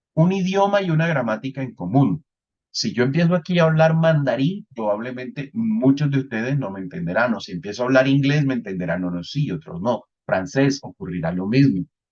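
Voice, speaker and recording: Speaking at a moderate pace, a man keeps a medium pitch. His voice moves in very wide pitch swings. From Colombian Caribbean coast, Santa Marta. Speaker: networking instructor. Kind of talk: lecture.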